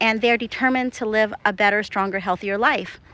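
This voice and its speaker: Bright and sharp in tone, a woman with a fairly high pitch talks at a fairly quick pace with ordinary pitch variation. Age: 50s. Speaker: acupuncturist. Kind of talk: casual video monologue. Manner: conversational, with fillers and restarts.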